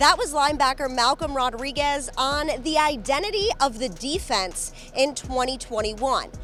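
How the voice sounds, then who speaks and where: Over music in the background, a woman speaks at a high pitch and a moderate pace, with lively intonation and hardly any pauses. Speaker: sports reporter and host. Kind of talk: sideline interview questions.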